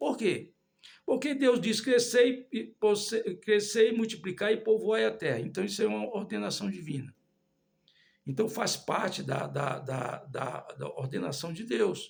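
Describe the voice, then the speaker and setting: A man talks with a high pitch. His pitch swings very widely. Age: 60s. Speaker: lay preacher. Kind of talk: sermon. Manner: halting.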